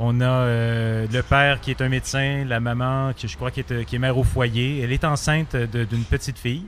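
A man at medium pitch speaks at a moderate pace in a normal speaking voice with fairly even intonation. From Quebec, Montreal. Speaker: comic book artist. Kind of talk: interview. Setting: bar.

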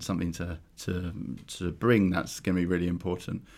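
A man with a London accent, very deep and low in pitch, at a very fast pace, on a very clean recording with a silent background. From London, Clapham. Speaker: travel company founder. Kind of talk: casual interview. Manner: halting, many fillers and restarts.

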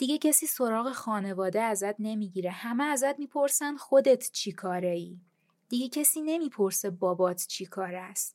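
A woman uses an ordinary speaking voice, her fairly high pitch rising and falling in lively intonation at a moderate pace. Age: 30s. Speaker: podcast host. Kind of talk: personal monologue.

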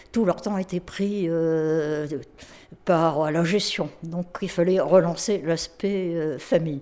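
A woman at a very slow pace, fairly low in pitch, with ordinary pitch variation. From France, Mayenne and northern France. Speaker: retired association worker. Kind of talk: testimony. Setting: retirement residence.

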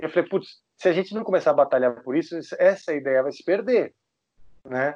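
Here is a man with an unremarkable speaking voice. His pitch is fairly high and his intonation lively. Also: moderate pace. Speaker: heavy metal guitarist. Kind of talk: casual interview.

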